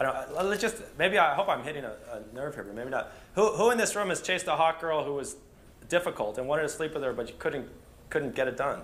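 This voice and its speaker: The pace is very fast. The intonation is lively. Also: man. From United States. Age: 30s. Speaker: dating coach; conference speaker. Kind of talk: seminar talk. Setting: stage with audience. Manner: hesitant, many fillers and repeats. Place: hall. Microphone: camera far.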